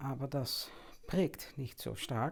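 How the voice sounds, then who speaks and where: In a Dutch accent, a woman speaks at a very slow pace with a very deep, low pitch, recorded very cleanly against a silent background. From Netherlands, Amsterdam. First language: Dutch (speaking German). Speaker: anthroposophy teacher. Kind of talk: lecture. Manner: halting, with many fillers.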